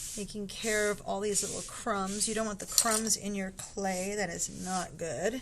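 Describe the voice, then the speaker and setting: A woman's medium-pitched voice, delivered fairly slowly and with fairly even intonation, sits against noticeable background noise. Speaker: pottery teacher. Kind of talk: tutorial. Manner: casual, bilingual English with Spanish asides.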